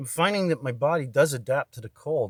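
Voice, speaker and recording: Somewhat breathy and fairly quick, a man talks with lively intonation. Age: 50s. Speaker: video blogger. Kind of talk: personal monologue. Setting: indoors in a barn room. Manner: rambling, hesitant.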